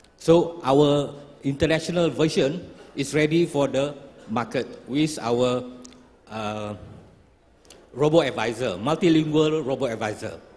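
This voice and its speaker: This man has a fairly high pitch and ordinary pitch variation. He speaks at a fairly slow pace with long, frequent pauses. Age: 60s. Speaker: startup founder. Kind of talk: pitch presentation.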